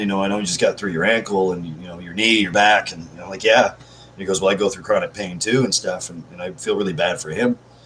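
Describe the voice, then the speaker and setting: A man at a fairly quick pace. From Canada. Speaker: live streamer. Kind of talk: casual live stream chat. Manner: fast; high energy.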